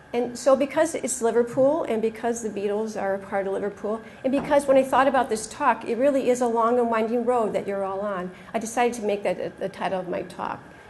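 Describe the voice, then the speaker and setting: In an American accent, a woman talks very fast at a fairly high pitch with ordinary pitch variation, and audible room echo surrounds her. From United States. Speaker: pediatric oncologist. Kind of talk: conference talk. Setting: stage with audience.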